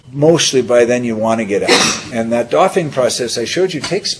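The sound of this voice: A man at medium pitch, slightly mellow in tone, with ordinary pitch variation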